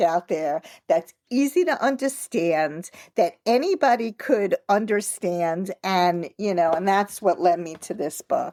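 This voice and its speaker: Pitch swings very widely as a woman speaks at a fairly slow pace, the sound dry and close with no echo. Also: very clean recording, silent background. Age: 60s. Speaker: author and triathlete. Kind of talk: interview. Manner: conversational, many fillers.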